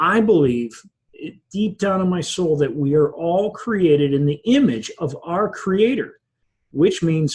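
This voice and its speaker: Very slow in pace, a man speaks with lively intonation. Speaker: business coach. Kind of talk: online masterclass talk. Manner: halting, with ums and ahs; partly following a script.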